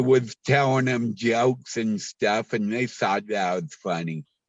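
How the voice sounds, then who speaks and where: A man talks with ordinary pitch variation. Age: 60s. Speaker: comedian. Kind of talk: interview. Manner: halting.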